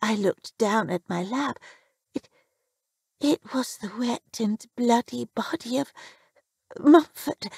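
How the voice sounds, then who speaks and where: Using a put-on character voice, a woman talks at a fairly slow pace and fairly high pitch, with long, frequent pauses. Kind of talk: horror narration. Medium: read story.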